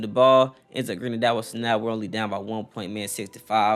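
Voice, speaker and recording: A man talks very fast while music plays in the background. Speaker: gaming YouTuber. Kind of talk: gameplay commentary; channel outro. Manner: stuttering.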